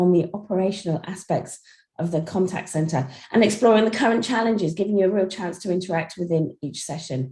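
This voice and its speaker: A woman with a dark, mellow tone and a somewhat breathy voice talks at a fairly quick pace, using a medium pitch and ordinary pitch variation. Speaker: seminar host. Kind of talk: online seminar introduction.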